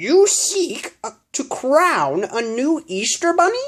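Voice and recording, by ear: A put-on character voice, high-pitched and raspy, with very wide swings in pitch. It moves at a very slow pace.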